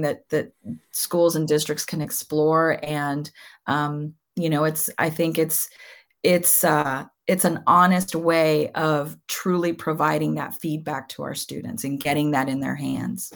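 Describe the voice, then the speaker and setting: A woman with a Californian accent, a very deep, low pitch, fairly even intonation and a fairly slow pace, on a very clean recording with a silent background. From Southern California. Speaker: education author and speaker. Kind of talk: interview. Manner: hesitant, many fillers and repetitions.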